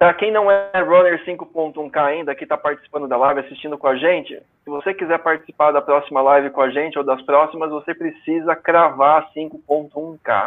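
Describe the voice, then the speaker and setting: The speaker has an unremarkable speaking voice. Delivery is at a moderate pace with fairly even intonation. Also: man, fairly high pitch for a man. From Brazil, São Paulo. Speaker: running community founder. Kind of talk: casual live stream chat. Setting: online live stream.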